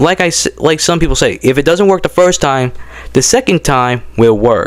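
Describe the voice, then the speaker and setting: At a moderate pace, a man with a fairly high pitch talks in an animated tone with lively intonation and very even loudness, over noticeable background noise. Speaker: YouTube poop creator. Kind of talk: casual vlog monologue. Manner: halting, stuttering; casual, animated.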